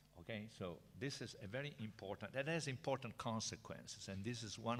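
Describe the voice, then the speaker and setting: Vocal fry marks this man's fairly low voice, spoken in an Italian accent at a moderate pace with lively intonation. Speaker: professor. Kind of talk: lecture. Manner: halting.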